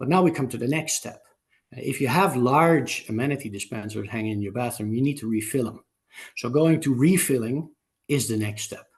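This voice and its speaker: Somewhat breathy, a man talks at a fairly quick pace in a medium pitch with ordinary pitch variation. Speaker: amenity supplier executive. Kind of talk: webinar panel talk. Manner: halting, many fillers.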